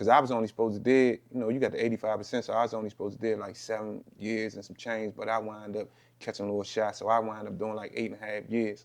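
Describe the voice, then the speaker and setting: A man in an American accent talks at a very fast pace with hardly any pauses. His fairly low voice stays flat and monotone. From Southeast Washington, D.C. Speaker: rapper. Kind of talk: interview.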